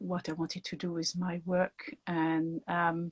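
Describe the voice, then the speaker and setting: A woman's somewhat breathy, fairly low voice in a French accent, at a very slow pace with fairly even intonation, dry and close with no echo on a very clean recording with a silent background. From France. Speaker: doula and author. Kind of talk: interview.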